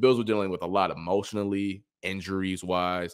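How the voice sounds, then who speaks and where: In a normal speaking voice, a man with fairly low pitch speaks at a moderate pace on a very clean recording with a silent background. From Cleveland, Ohio. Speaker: sports reporter and former college football player. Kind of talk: casual chat.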